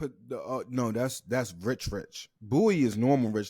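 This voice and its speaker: On a very clean recording with a silent background, a man with an American accent speaks in a dark, mellow tone with ordinary pitch variation. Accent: DC accent comes out when drinking. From Washington DC area. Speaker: podcast host. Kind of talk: casual chat.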